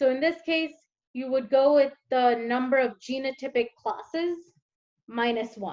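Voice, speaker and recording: Over a quiet background, a woman speaks at a high pitch. Her pace is very slow, with ordinary pitch variation. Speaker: teaching assistant; teacher or tutor. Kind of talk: tutorial. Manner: hesitant, many fillers. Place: home room. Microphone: webcam.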